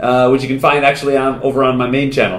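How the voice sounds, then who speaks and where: A man talks at a very fast pace with a fairly high pitch. Room echo is audible. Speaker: actor. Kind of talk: casual talk to camera. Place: home room. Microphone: lapel.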